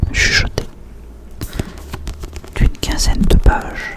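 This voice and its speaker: A man whispers over noticeable background noise. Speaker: ASMR creator. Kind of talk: casual talk to camera. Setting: close to microphone. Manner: whispered.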